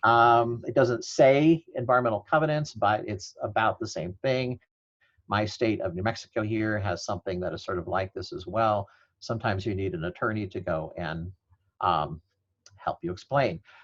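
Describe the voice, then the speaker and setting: Over a quiet background, a man with an unremarkable speaking voice and fairly low pitch speaks at a moderate pace with lively intonation. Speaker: law professor. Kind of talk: webinar presentation.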